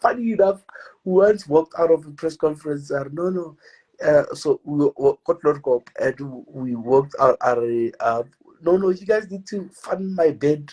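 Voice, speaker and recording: A man with a high voice for his sex speaks at a moderate pace with lively intonation, the sound dry and close with no echo. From South Africa, Pretoria township. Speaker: football fan vlogger. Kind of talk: interview. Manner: mumbling; halting, repeats words.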